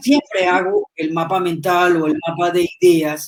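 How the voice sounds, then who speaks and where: A fairly slow woman's voice with very wide pitch swings. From Colombia. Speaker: writer. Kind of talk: live online interview.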